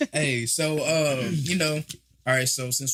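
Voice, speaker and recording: Fairly high in pitch with ordinary variation, a man speaks with an American accent. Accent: country twang. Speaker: podcast host. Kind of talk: casual chat.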